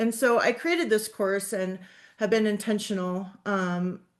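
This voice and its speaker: A woman speaks at a moderate pace with a medium pitch and ordinary pitch variation. Hers is an unremarkable speaking voice. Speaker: social work professor. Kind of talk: webinar presentation.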